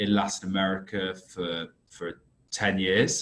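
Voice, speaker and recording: Speaking in a British accent, a man keeps a fairly low pitch and a monotone, flat intonation. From UK. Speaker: risk consultancy director. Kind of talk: podcast interview.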